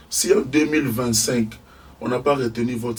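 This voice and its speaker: Medium pitch from a male speaker, with ordinary pitch variation. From DR Congo. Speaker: engineer and scientist. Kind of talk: interview. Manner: halting.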